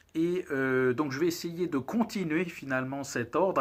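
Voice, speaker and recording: This man's voice sits fairly high, moving at a fairly slow pace with ordinary pitch variation. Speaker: cigar reviewer, channel host. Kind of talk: casual video monologue, product review. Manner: hesitant, many filler words.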